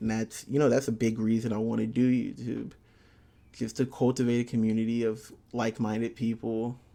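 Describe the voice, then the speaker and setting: A man with a dark, mellow tone talks at a fairly quick pace in a monotone, flat intonation. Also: medium pitch for a man. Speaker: aspiring YouTuber. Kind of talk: casual monologue vlog. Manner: slurred words; halting, many fillers.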